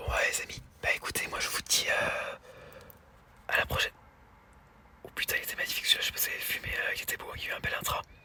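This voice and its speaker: A man whispers very fast but with long, frequent pauses, over noticeable background noise. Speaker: storm chaser. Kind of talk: casual vlog commentary. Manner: soft-spoken.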